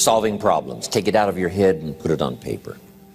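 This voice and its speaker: Backed by music, a man keeps to a moderate pace as he speaks. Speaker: motivational speaker. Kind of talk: motivational speech / sales training seminar talk.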